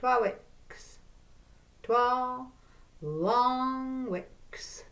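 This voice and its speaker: A woman with a North East Scottish accent. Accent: North East Scots (Doric). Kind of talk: storytelling.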